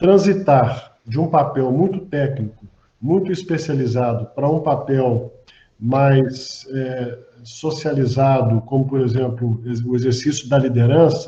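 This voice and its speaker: A man speaks at a fairly slow pace in a medium pitch, his dark, mellow tone somewhat breathy. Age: 60s. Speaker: physician and hospital executive. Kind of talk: panel discussion.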